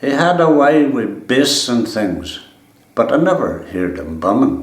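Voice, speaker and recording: Very slow speech from a man with a Donegal accent, over noticeable background noise. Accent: Ulster Scots, Donegal. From East Donegal, Ireland. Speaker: farmer. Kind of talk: dialect poetry reading.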